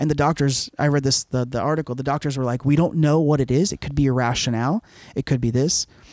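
A man with an American accent, fairly high pitch, very fast pace and fairly even intonation, in a very clean, dry, close recording with no echo and a silent background. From Florida, Cuban family. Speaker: podcast co-host. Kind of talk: casual chat.

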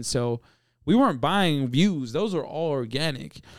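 Over a silent background in a very clean recording, a man talks in a normal speaking voice, fairly high in pitch, with ordinary pitch variation. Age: 20s. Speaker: rapper and musician. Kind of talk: casual chat.

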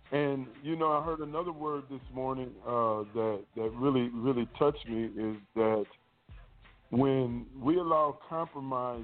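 At a fairly slow pace, a man speaks in an ordinary speaking voice with medium pitch and ordinary pitch variation. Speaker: minister. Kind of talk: panel discussion on scripture. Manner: excitable.

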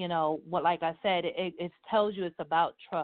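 Here is a woman with an ordinary speaking voice and a fairly low pitch. She keeps her intonation fairly even. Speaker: truck driver and business founder. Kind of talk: live interview.

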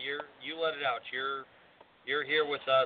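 This voice belongs to a man. He moves through his words at a moderate speed. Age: 60s. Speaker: wrestling referee and radio co-host. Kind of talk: casual chat.

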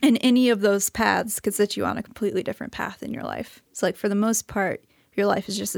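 Delivered at a very fast pace with an American accent, the voice carries vocal fry and fairly even intonation. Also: woman. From US Midwest (rural Missouri, St. Louis). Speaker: audio engineer. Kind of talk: casual chat.

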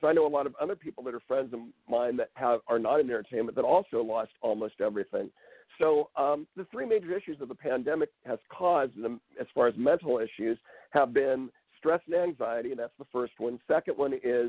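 This man talks at a fairly quick pace with a fairly high pitch and ordinary pitch variation. He has a plain, everyday voice. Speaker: hypnotherapist. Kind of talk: interview.

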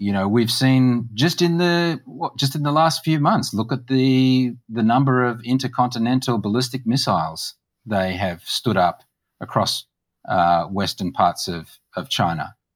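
With an Australian accent, a man speaks at a moderate pace and medium pitch, his intonation lively and broken by long, frequent pauses. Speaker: political party policy chair. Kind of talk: interview. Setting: video call.

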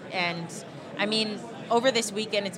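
A woman speaks at a medium pitch with ordinary pitch variation and a fairly quick pace, her voice carrying audible room echo over crowd noise in the background. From Hawaii. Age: 20s. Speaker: wrestling fan and YouTuber. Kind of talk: casual chat.

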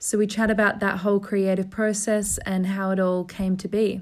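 Her pace moderate, a woman speaks in a medium pitch. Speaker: podcast host. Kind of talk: casual chat. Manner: warm, effusive.

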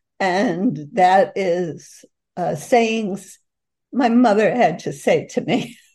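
With a Boston accent, a woman speaks very slowly in a medium pitch, her dark, mellow tone carried by lively intonation. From Boston, North End (US Northeast). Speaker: author. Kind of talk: interview.

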